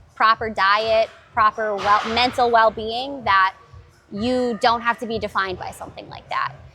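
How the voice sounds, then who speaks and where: With music in the background, a woman talks at a moderate pace in a fairly high voice with fairly even intonation. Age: 30s. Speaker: gym member talking about fitness with chronic illness. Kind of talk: casual chat.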